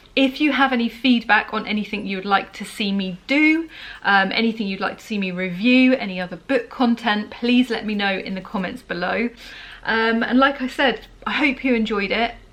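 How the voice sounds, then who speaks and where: Against noticeable background noise, a woman with a British accent and a fairly high pitch speaks at a moderate pace. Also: ordinary pitch variation. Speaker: book reviewer vlogger. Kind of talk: casual vlog talk. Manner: chatty, rambling.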